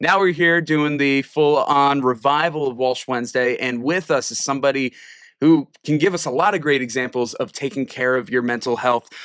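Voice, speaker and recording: With an American accent and a fairly high pitch, a man talks in an animated tone at a moderate pace with ordinary pitch variation, on a very clean recording with a silent background. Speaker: podcast host. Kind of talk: casual interview.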